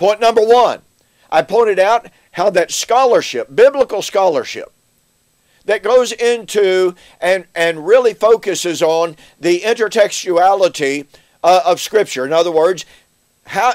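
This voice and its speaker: A man with a high pitch at a fairly slow pace, against a quiet background. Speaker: bible teacher. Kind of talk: lecture. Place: office.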